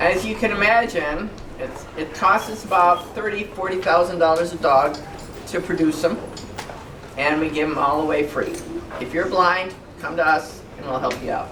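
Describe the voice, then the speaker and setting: A woman with a fairly low pitch at a moderate pace, long, frequent pauses, audible room echo and noticeable background noise. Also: ordinary pitch variation. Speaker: guide dog charity volunteer speaker. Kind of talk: informal talk to senior center audience. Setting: room with live audience, no microphone. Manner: loud.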